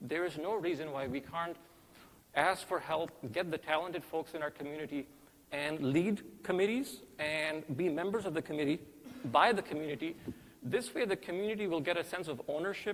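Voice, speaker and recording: A man with a fairly high pitch talks fairly quickly, his pitch shifting in an ordinary way. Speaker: candidate for mosque board. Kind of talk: campaign speech. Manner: fast.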